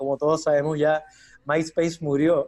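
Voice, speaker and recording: Here a man speaks with a Chilean accent at a fairly high pitch. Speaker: UX designer and university teacher. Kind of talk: interview.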